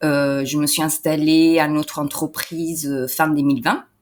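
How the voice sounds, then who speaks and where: In a very clean recording with a silent background, a woman with a very deep, low voice speaks at a fairly slow pace. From Italy. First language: Italian (speaking French). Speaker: entrepreneur and translator. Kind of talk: interview. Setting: in person interview. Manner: hesitant, many fillers.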